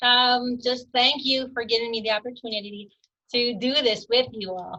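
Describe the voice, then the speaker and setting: A woman talks at a moderate pace in a fairly high voice with fairly even intonation. Her loudness swings widely. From Texas. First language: Spanish. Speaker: sheriff's deputy. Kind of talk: casual chat.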